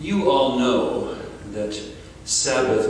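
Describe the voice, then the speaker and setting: A man speaks over light background noise, his voice ringing with strong room echo. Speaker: panelist. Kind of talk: panel talk. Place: hall. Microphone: handheld.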